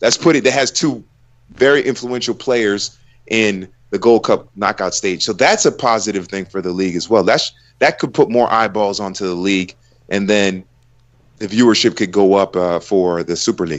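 An unremarkable speaking voice with an American accent moves at a moderate pace. Its pitch varies in an ordinary way. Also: man, fairly low pitch for a man. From United States. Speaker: football commentator. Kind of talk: casual chat.

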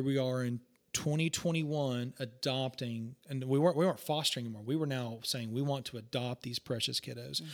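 West Texas accent on a man of medium pitch, moderate pace, hardly any pauses, very clean recording with a silent background. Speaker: pastor. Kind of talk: casual chat.

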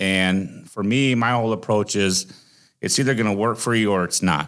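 A man with a Midwestern American accent, fairly low pitch and fairly even intonation, at a moderate pace, on a very clean recording with a silent background. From Iowa, US Midwest. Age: 40s. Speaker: trucking company recruiter, former truck driver. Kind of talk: casual interview.

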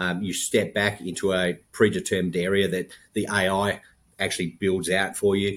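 At a moderate pace, a man speaks at a fairly low pitch on a very clean recording with a silent background. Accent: American. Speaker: health tech company founder. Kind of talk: interview.

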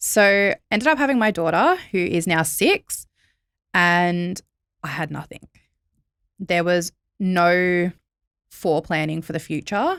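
A woman with a fairly low voice speaks at a very slow pace, with long, frequent pauses. The recording is very clean and dry, with a silent background and no echo. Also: ordinary pitch variation. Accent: Australian.

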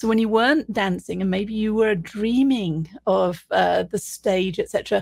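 A woman speaks at a fairly slow pace with hardly any pauses, her medium pitch showing ordinary variation. The recording is very clean, with a silent background. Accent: British. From Britain. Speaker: podcast host and leadership consultant. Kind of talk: interview conversation.

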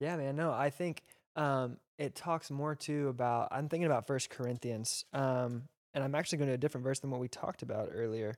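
In a very clean recording with a silent background, a man uses a normal speaking voice with an American accent, the sound dry and close with no echo. His pitch is fairly high, his intonation fairly even, and his pace fairly quick. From Texas. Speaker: youth pastor. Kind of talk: casual chat. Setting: church.

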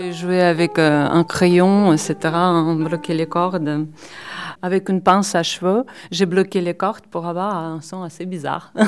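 A woman speaks at a very slow pace in a flat monotone. Her pitch is fairly low. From Belarus. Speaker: mandolinist. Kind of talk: interview monologue. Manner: halting.

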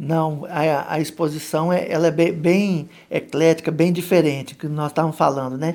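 Speaking with a Minas Gerais accent, a man keeps a monotone, flat intonation. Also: fairly high pitch for a man, moderate pace. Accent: Minas Gerais (mineiro) accent, still present. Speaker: photographer. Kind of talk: radio interview.

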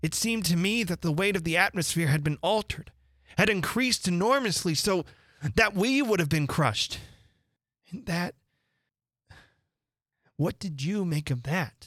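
A man's put-on character voice, high-pitched and fairly bright, at a fairly slow pace with long, frequent pauses. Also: lively intonation, very clean recording, silent background.

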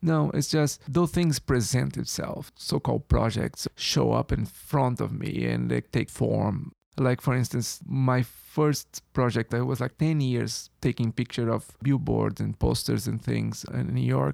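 In a Brazilian accent, a man speaks at a fairly slow pace with hardly any pauses, the sound dry and close with no echo. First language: Portuguese. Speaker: photographer. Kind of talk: interview. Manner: halting.

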